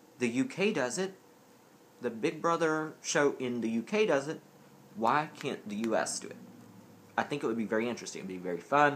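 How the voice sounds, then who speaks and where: Fairly high-pitched and in a Southern US accent, a man talks at a fairly quick pace with very wide pitch swings and long, frequent pauses. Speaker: vlogger. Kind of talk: casual vlog. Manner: rambling, distracted.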